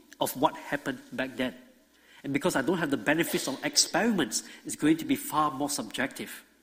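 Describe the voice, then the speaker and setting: Talking at a very fast pace, a man's pitch swings very widely. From Singapore. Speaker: creation ministry speaker. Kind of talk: church talk/lecture. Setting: church, live audience.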